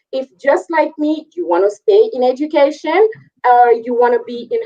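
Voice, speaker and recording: Speaking at a moderate pace with a slight French West African accent, a woman uses a high pitch, a dark, mellow tone and very wide pitch swings. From Ivory Coast, West Africa. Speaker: career and technical education teacher. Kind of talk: panel discussion.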